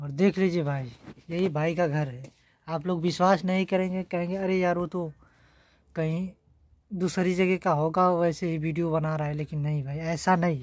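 Against a quiet background, a man with a high voice speaks with fairly even intonation in a dry sound with no echo. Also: fairly slow pace. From rural north India. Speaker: vlogger. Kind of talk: casual vlog. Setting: at home. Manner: halting. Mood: earnest, slightly pleading. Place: home room. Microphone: phone near.

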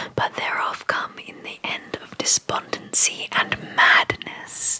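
Whispering and soft-spoken, the voice moves at a very slow pace. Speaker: poetry reader. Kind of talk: reading poetry aloud. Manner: soft whispered poetry reading. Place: home room. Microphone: studio mic.

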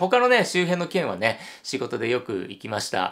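His voice sits fairly high and swings very widely up and down as the man talks. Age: 50s. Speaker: hotel YouTuber. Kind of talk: solo video commentary. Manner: animated. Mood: cheerful, friendly. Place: home room.

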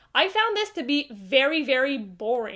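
A woman's high pitch, in a French Canadian accent. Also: quiet background. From Quebec, Canada. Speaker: book reviewer. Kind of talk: casual talk to camera. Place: home room.

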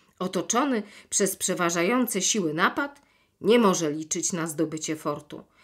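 In an ordinary speaking voice, a woman with a fairly low pitch and lively intonation talks at a moderate pace in a very clean recording with a silent background. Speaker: actress and audiobook narrator. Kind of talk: literary audiobook reading of a classic children's novel, chapter narration. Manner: measured, expressive storytelling with clear diction.

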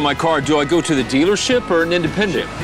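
Clear music plays in the background. The speech moves at a very fast pace. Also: man, dry sound with no echo. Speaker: television host, news anchor and former radio disc jockey. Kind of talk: casual on-camera host banter and news anchor intro. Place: street.

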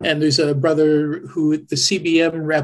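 A man's somewhat breathy, fairly high-pitched voice in a Canadian accent. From Canada. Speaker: website administrator, church volunteer. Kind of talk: interview. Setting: video call. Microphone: crackly sound in places.

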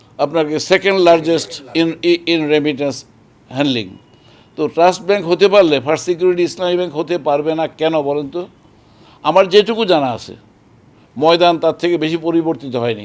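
A man with an unremarkable speaking voice talks at a fairly high pitch with ordinary variation. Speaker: bank chairman. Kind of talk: media interview.

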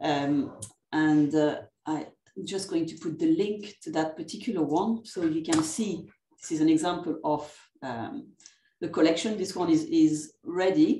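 A woman's fairly low, dark and mellow voice with a French accent, fairly slow, with ordinary pitch variation, big swings in loudness and audible room echo. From France. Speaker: academic librarian. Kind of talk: conference presentation. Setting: video call. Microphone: video call.

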